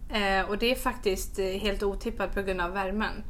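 The voice has a bright, sharp tone and ordinary pitch variation at a moderate pace. Audible room echo surrounds it. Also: woman. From mixed: Malmö, Canada, Australia, Stockholm. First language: English (speaking Swedish). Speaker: entrepreneur and podcaster. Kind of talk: casual interview.

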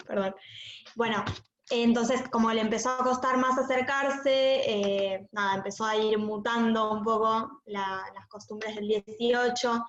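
Her fairly high voice moves at a very slow pace, and the woman keeps her intonation fairly even. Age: 20s. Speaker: relative of a terror attack victim. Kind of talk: testimony. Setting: video call.

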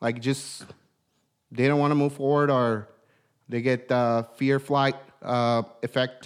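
This man speaks at a fairly slow pace in a medium pitch, his intonation monotone and flat, his loudness very even, and his pauses long and frequent. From outside the US, immigrant. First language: not English. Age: 30s. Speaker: podcast host, entrepreneur. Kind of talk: casual motivational talk. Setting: studio. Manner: hesitant, many fillers.

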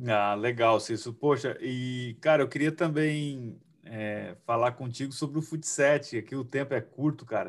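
Here a man has an ordinary speaking voice at a medium pitch with ordinary pitch variation. He goes at a fairly slow pace with hardly any pauses. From Cuiabá, Brazil. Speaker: futsal player and podcast host. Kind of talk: interview.

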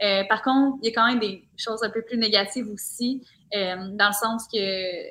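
This woman speaks with a Quebec accent at a fairly high pitch. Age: 20s. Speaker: social media content creator. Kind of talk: casual chat.

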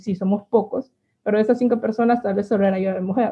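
Her intonation is monotone and flat. The woman's pitch sits fairly high. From Honduras, El Paraíso. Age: 20s. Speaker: physicist and university instructor. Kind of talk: interview.

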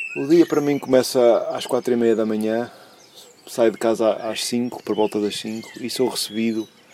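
A man of medium pitch talks at a moderate speed, with noticeable background noise underneath. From Portugal, São João da Madeira. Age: 40s. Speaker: truck driver. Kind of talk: amateur reporter narration; casual family interview.

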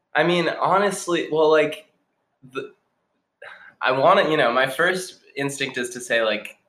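A man with an American accent speaks at a fairly high pitch in a bright, sharp tone, leaving long, frequent pauses. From Boston area, Massachusetts. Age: 20s. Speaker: youth program coordinator. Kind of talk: casual interview.

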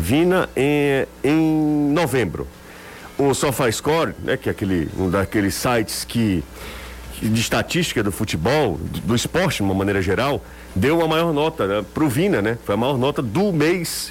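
The man's medium-pitched voice has very wide pitch swings yet very even loudness, moving at a fairly slow pace. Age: 30s. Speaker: sports radio host. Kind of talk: sports talk radio.

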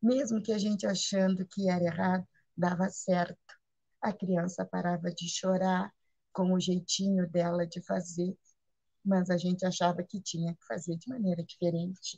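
Dry and close with no echo, a woman's somewhat breathy voice has a dark, mellow tone at a medium pitch, moving at a moderate pace with fairly even intonation and big swings in loudness. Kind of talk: spiritual sharing.

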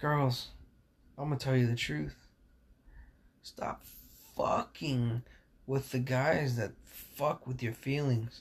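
Somewhat breathy, a man with a medium-pitched voice talks at a very slow pace with ordinary pitch variation. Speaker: podcast host. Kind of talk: casual monologue. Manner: animated.

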